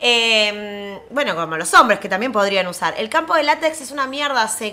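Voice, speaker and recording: A woman projects a raised voice with lively intonation at a moderate pace, against noticeable background noise. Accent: Rioplatense. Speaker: podcast co-host. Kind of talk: casual chat.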